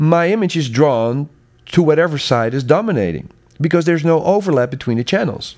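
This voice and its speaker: This man has a fairly high pitch and very wide pitch swings. His pace is moderate. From Netherlands. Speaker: sound consultant and educator. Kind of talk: interview conversation.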